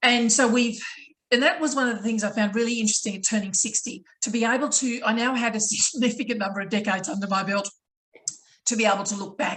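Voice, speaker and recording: Speaking very fast, a woman has an Australian accent. Her pitch is fairly high, with ordinary variation. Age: 60s. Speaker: motivational speaker. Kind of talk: panel discussion.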